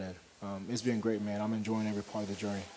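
Over noticeable background noise, a man with a fairly low pitch talks at a very fast pace in a monotone, flat intonation. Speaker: college basketball player. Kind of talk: radio interview.

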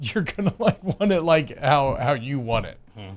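A man's fairly high-pitched, an unremarkable speaking voice at a moderate pace. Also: very clean recording, silent background. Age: 30s. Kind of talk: casual sports talk radio. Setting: radio studio.

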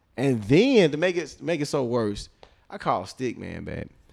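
A very clean recording of a man, silent in the background. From Birmingham, Alabama. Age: 30s. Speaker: DJ. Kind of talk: casual interview.

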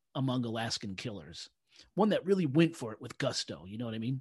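Over a quiet background, a somewhat breathy man's voice swings very widely in pitch. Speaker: podcast host. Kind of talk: casual podcast chat.

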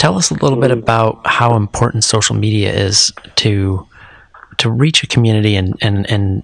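A man's fairly low voice with ordinary pitch variation, a fairly quick pace and very even loudness over noticeable background noise. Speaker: podcast host. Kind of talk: interview.

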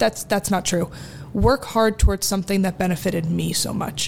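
The speaker has an American accent and vocal fry. Pitch varies in an ordinary way at a moderate pace. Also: woman. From New Jersey. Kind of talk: casual interview chat.

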